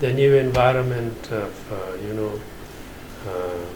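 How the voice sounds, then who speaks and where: A man's medium-pitched voice with noticeable background noise and audible room echo. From Afghanistan, Nangarhar. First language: Pashto. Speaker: Islamic finance scholar. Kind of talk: interview. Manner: halting, many filler sounds.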